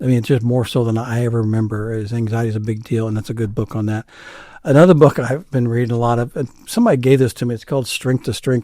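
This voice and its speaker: Over a very clean recording with a silent background, a man at medium pitch talks at a very fast pace with a dark, mellow tone and fairly even intonation. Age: 60s. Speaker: executive pastor. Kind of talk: interview conversation.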